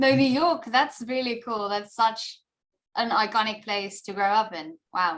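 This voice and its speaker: Speaking with a South African accent, a woman uses a fairly high voice and lively intonation at a fairly slow pace. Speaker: actor. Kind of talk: interview.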